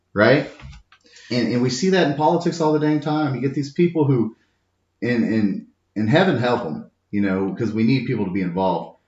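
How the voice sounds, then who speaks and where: A loud man with an American accent at medium pitch and a fairly quick pace, animated in tone, with very wide pitch swings and long, frequent pauses. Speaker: journeyman plumber, union member. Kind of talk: podcast interview. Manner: animated, repetitive stammering starts.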